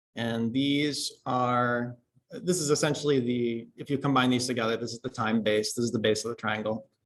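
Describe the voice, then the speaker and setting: At a moderate pace, a man talks in a plain, everyday voice, medium in pitch, with fairly even intonation. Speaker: university lecturer. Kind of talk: lecture. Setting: classroom.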